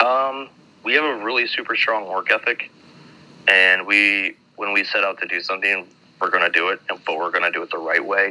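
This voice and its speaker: Noticeable background noise around a man speaking fairly quickly. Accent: American. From Minnesota, US. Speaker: metal band musician. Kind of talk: casual interview.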